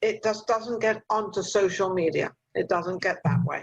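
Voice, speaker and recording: A woman with an English accent speaks at medium pitch and a moderate pace. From England. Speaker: talk show host. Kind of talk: interview. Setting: video call.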